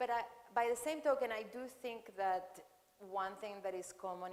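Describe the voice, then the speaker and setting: With audible room echo around her, a woman talks at a moderate pace with ordinary pitch variation. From Venezuela (Caracas). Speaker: architect. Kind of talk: Q&A after a lecture. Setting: lecture hall with audience. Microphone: echoing sound system.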